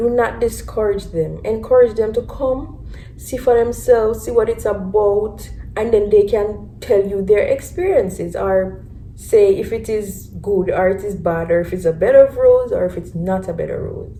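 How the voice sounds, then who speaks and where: Over noticeable background noise and audible room echo, a woman with a Jamaican accent speaks at a moderate pace. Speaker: vlogger. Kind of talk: casual chat. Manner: animated.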